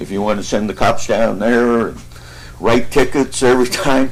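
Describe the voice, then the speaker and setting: A man talks at a moderate pace. Behind him there is noticeable background noise. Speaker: local landowner, public commenter. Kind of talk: public comment. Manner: loud.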